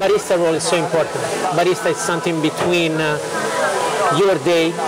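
A man talks fairly quickly while loud music plays behind him. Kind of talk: interview answer. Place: cafe.

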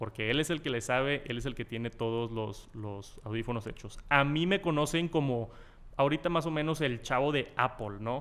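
This speaker has a Mexican accent and ordinary pitch variation. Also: man, medium pitch for a man, moderate pace. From Mexico. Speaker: tech youtuber. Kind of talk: casual interview. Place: meeting room. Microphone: studio mic.

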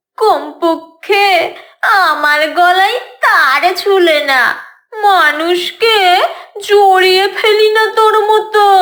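A cartoonish character voice at extremely high pitch and a very slow pace. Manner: boastful, mocking.

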